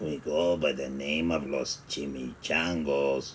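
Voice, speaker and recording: A put-on character voice from a man, very deep and low, raspy and growling, flat and monotone at a fairly slow pace, over clear background noise. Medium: read story.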